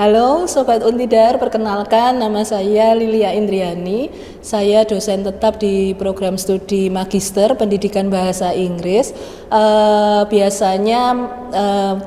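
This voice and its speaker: Against noticeable background noise, a woman speaks at a very slow pace and medium pitch with fairly even intonation. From Magelang, Central Java. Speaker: university lecturer. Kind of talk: interview.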